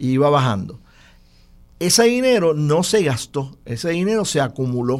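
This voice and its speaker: Very wide pitch swings, long and frequent pauses, and a moderate pace. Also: man. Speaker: political commentator. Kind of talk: political analysis discussion.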